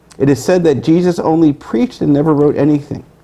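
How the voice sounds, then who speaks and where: A man's voice over noticeable background noise. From US Northeast, Brooklyn, New York. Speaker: author. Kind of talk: reading aloud. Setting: bookstore event with audience. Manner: fast.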